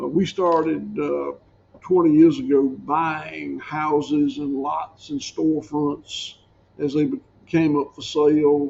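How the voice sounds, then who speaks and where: A man speaks with a Southern US accent. His pace is very slow. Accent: Southern US (Georgia). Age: 60s. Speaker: farmer. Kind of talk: podcast interview.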